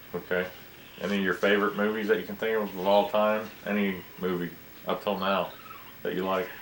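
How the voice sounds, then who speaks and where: A man with a fairly low pitch talks at a fairly quick pace in a monotone, flat intonation. He leaves long, frequent pauses, and there is noticeable background noise. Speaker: family history interviewer. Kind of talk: interview questions.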